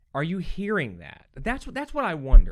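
Very wide pitch swings in an American accent, on a very clean recording with a silent background. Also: man. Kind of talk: angry rant against media propaganda, fervent preaching-style; casual podcast monologue. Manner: agitated, emphatic, insistent.

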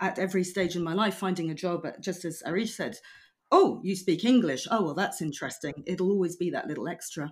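Speaking with a British accent, a woman uses a medium pitch and ordinary pitch variation. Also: fairly quick pace, very clean recording, silent background. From Belgium and UK. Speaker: freelance translator. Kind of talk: casual chat.

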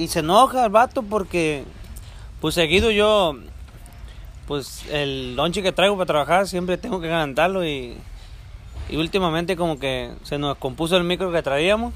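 Delivery runs at a moderate pace with ordinary pitch variation and long, frequent pauses. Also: man, high pitch for a man. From rural Mexico. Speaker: handyman and amateur podcaster. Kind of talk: casual chat. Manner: animated.

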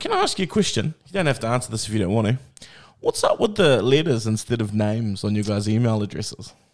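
Very fast and at a medium pitch, a man with a New Zealand accent speaks with ordinary pitch variation on a very clean recording with a silent background. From New Zealand, Bay of Plenty. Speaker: podcast host. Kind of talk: casual interview.

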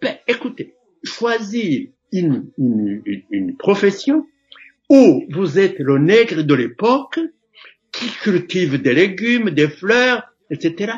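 A man's high voice at a very slow pace, full of long, frequent pauses and very wide pitch swings. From Burundi, Gitega province. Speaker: historical witness. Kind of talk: oral history interview. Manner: halting.

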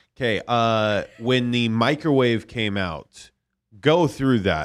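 A man speaks in a plain, everyday voice at a medium pitch, with lively intonation. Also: very clean recording, silent background. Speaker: podcast producer. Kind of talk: casual chat. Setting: studio.

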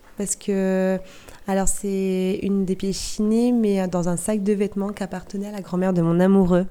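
Her voice has a medium pitch and a dark, mellow tone, delivered in a monotone, flat way at a moderate pace by a woman. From Normandy (Cotentin, Val de Saire). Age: 30s. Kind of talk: interview.

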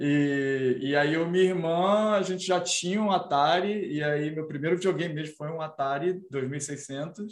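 A man's normal speaking voice, fairly high in pitch and fairly slow, with ordinary pitch variation and hardly any pauses. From Brazil. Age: 30s. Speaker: senior designer and indie game developer. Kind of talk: casual interview chat.

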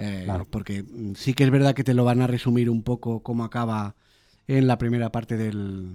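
This voice carries a dark, mellow tone and fairly even intonation. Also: man. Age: 30s. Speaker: podcast host. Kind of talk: casual chat.

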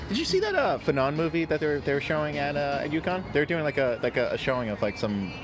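A man with an American accent talks at a very fast pace with hardly any pauses. His pitch varies in an ordinary way, and there is noticeable background noise. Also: fairly high pitch for a man. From New York. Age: 20s. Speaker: podcast host. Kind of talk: casual conversation.

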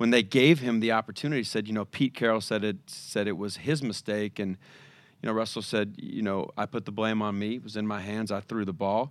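On a very clean recording with a silent background, a man with an American accent speaks at a fairly quick pace, his fairly low pitch held in fairly even intonation. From US Pacific Northwest, Seattle. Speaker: mental conditioning consultant. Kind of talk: interview. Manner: halting, with repeated words and fillers.

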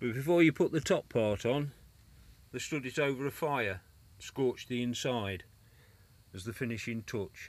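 Long, frequent pauses break up a man's moderate pace as he speaks with an English accent and ordinary pitch variation. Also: medium pitch for a man, very clean recording, silent background. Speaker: podcast host. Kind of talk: reminiscing monologue.

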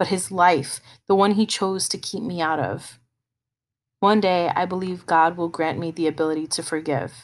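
A plain, everyday voice from a woman, pitched fairly low, moving at a moderate pace with fairly even intonation. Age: 30s. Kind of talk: personal testimony monologue.

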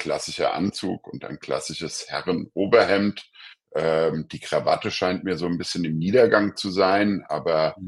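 Big swings in loudness from a man at a fairly slow pace. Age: 50s. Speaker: law professor. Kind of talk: interview. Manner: hesitant, many filler sounds.

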